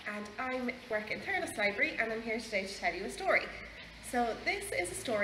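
This is reading aloud in a natural voice. The intonation stays lively throughout.

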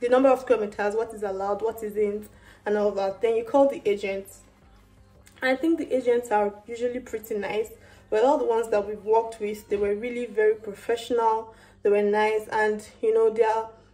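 A woman speaks at a fairly quick pace. Faint music plays in the background. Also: fairly even intonation. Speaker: vlogger. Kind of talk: casual vlog chat. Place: kitchen. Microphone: phone near.

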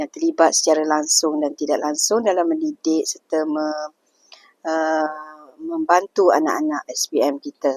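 The sound is dry and close, with no echo. A woman's speech moves fairly slowly. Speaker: senior teacher. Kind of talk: interview. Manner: hesitant with many fillers.

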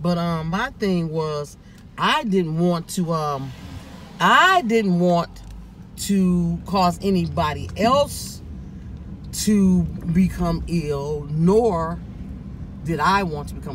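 With long, frequent pauses, a man talks over noticeable background noise in a dry sound with no echo. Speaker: vlogger. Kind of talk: casual vlog monologue. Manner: rambling, halting. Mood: cheerful, joking. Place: car. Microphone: phone near.

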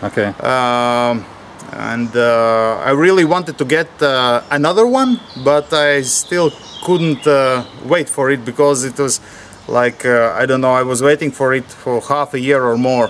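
At a fairly slow pace, a man talks with ordinary pitch variation while light background noise plays. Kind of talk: interview answer. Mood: relaxed, laughing. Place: street.

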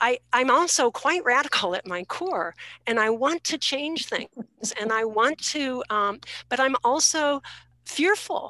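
Against a quiet background with a dry sound and no echo, a woman speaks slowly-ish in a raised, projected voice, her high pitch carrying a bright, sharp tone and lively intonation. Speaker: participant asking question. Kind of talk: panel discussion question. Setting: video call. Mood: earnest, somewhat hesitant. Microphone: video call.

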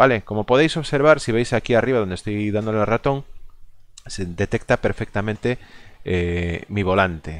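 This man's pitch is fairly low. The background is quiet. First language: Galician (speaking Spanish). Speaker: gaming video creator. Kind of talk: gameplay commentary. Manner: halting, many fillers.

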